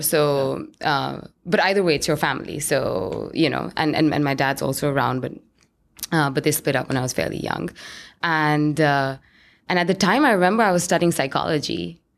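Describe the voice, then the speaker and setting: A woman speaks in a very deep, low voice with vocal fry. Her pace is fairly quick and her intonation lively. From India, New Delhi. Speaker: tech executive and dancer. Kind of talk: interview conversation. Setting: in-person at her office building.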